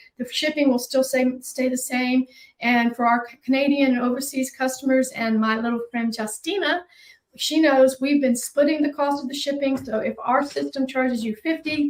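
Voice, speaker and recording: A woman's high-pitched voice at a moderate pace with fairly even intonation. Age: 60s. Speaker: boutique owner. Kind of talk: live shopping stream.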